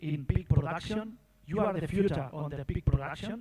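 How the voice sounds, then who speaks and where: Speaking in a non-native accent, a man uses a fairly high pitch. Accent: foreign accent in English. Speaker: pig industry expert. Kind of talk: goodwill speech. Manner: halting.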